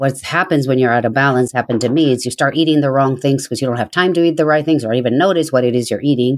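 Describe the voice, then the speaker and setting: Here a woman speaks with a very deep, low pitch and ordinary pitch variation. The sound is dry and close, with no echo. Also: very clean recording, silent background. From South America. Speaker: yoga and meditation teacher. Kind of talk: interview.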